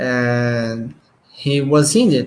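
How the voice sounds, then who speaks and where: This somewhat breathy voice comes with a Portuguese accent. Its pitch varies in an ordinary way. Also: man. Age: 20s. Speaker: police officer. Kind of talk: casual chat. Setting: video call. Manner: halting.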